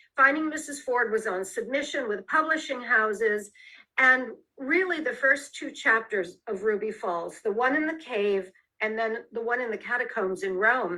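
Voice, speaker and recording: Spoken in an American accent, an ordinary speaking voice carries lively intonation at a moderate pace. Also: woman. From US Midwest, Detroit. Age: 60s. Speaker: author and former actress. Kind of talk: interview.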